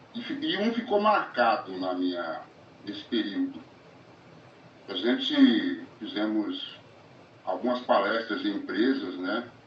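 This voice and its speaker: Amid noticeable background noise and audible room echo, a man talks very slowly with long, frequent pauses. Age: 60s. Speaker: recovering gambler, support group volunteer. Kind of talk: testimony. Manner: halting.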